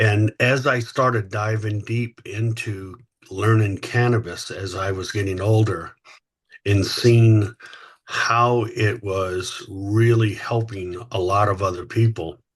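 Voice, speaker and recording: Speaking at a very slow pace, a man with an American accent has a fairly low, somewhat breathy voice and fairly even intonation. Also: quiet background. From US South, Louisiana. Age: 60s. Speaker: company founder and CEO. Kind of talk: podcast interview. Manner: halting, many fillers.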